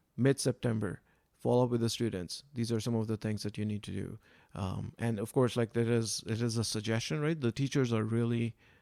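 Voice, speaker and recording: A fairly quick, dark and mellow voice with a non-native accent and fairly even intonation, dry and close with no echo, in a very clean recording with a silent background. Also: man, medium pitch for a man. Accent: foreign. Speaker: science club founder. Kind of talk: podcast interview. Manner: soft-spoken; hesitant with fillers.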